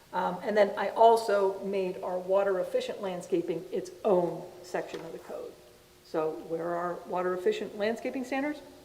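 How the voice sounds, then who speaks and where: In a room with audible echo and noticeable background noise, a woman talks at a moderate pace with fairly even intonation. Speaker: city planning staff presenting code amendments. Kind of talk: public meeting presentation. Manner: loud.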